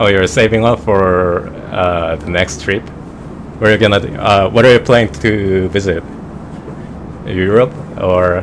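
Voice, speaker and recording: This speaker has a Korean accent and leaves long, frequent pauses. Noticeable background noise can be heard throughout. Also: man, fairly low pitch for a man, ordinary pitch variation, fairly slow pace. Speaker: flight simulator streamer. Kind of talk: casual chat. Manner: halting.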